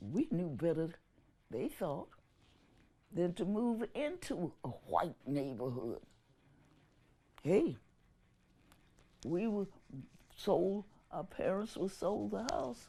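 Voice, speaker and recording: Speaking at a very slow pace with long, frequent pauses, a woman uses a dark, mellow tone at a medium pitch, with vocal fry and very wide pitch swings. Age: 80s+. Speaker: activist. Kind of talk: interview answer.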